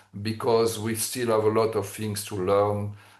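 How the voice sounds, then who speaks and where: A man with a French accent talks amid audible room echo. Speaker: engineering expert presenter. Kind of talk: technical presentation. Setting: webinar. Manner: halting, many fillers.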